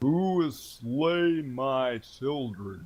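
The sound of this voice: A man's put-on character voice at medium pitch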